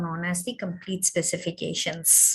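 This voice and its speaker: This woman's voice has a bright, sharp tone. Her pitch sits in the medium range. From India, Kerala. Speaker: webinar speaker on intellectual property law. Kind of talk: webinar Q&A. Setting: online webinar. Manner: hesitant, many fillers.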